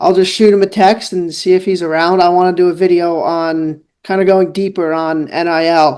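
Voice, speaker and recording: A man with a New York accent, high in pitch and fairly slow. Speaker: student journalist. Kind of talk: casual chat and interview. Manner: casual, filler-heavy.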